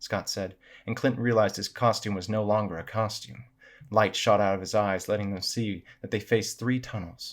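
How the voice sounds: Someone reads in a natural voice, keeping the intonation fairly even.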